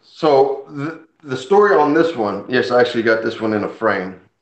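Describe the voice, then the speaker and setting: A man's medium-pitched voice at a moderate pace, with lively intonation and audible room echo. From Puerto Rico, left at age five. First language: Spanish. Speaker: comic collector and channel host. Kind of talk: casual live stream chat. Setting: live stream. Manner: conversational, animated.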